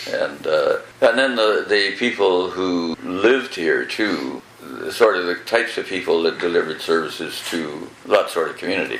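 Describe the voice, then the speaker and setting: There is audible room echo along with noticeable background noise. A man talks through it at a moderate tempo. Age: 80s+. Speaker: former town mayor. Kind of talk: oral history interview. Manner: halting.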